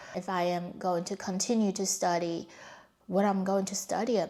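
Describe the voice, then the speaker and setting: On a very clean recording with a silent background, a woman with a Mandarin accent speaks at a moderate pace with fairly even intonation. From China. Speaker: vlogger. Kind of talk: personal storytelling.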